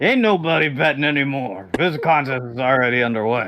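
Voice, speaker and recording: Using a put-on character voice, a man speaks at a medium pitch and a fairly quick pace. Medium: actual play. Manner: gruff, blunt.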